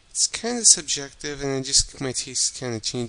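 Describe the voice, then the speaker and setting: Soft-spoken, the man keeps his intonation fairly even. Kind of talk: casual talk to camera.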